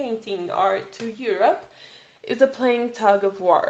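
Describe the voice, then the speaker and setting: Someone with a non-native accent speaks at a fairly slow pace with ordinary pitch variation. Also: woman. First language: not English. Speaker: podcast host. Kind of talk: solo educational podcast. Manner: halting, self-correcting.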